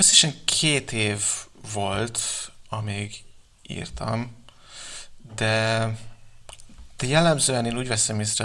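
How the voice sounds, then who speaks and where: A man with a fairly low pitch speaks very slowly, his bright, sharp tone edged with vocal fry. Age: 20s. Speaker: novelist. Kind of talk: interview. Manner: halting, many fillers.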